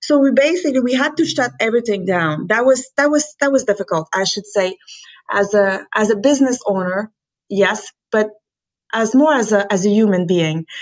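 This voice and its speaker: A woman with a Quebec accent speaks at a fairly high pitch with lively intonation. The recording is very clean, with a silent background. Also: moderate pace. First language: French. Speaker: company founder and president. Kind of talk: interview. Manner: halting, many fillers.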